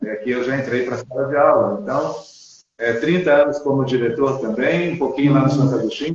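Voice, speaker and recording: At a fairly quick pace, a man with an ordinary speaking voice talks in a fairly high pitch with ordinary pitch variation. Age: 60s. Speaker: school principal and mindfulness instructor. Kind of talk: interview conversation.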